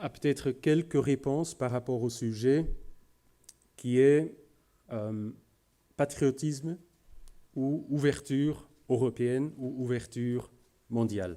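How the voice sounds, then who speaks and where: Recorded very cleanly against a silent background, a man with a medium pitch and a dark, mellow tone talks at a very slow pace with ordinary pitch variation and long, frequent pauses. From Flanders, Belgium. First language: Dutch (speaking French). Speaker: business executive. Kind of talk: conference talk. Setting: room with audience. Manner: halting, many hesitations.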